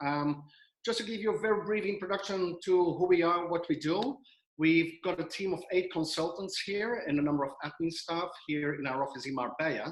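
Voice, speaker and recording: Speaking with a Belgian accent, a man uses a high voice. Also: ordinary pitch variation, moderate pace. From Belgium. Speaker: financial adviser. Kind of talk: webinar presentation. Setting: video call. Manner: halting with many fillers.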